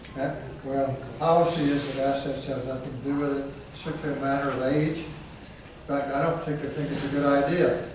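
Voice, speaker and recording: Over noticeable background noise and audible room echo, a man talks at a fairly quick pace with hardly any pauses, in a fairly high pitch and a monotone, flat intonation. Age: 60s. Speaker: utility board member. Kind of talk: public forum Q&A. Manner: halting.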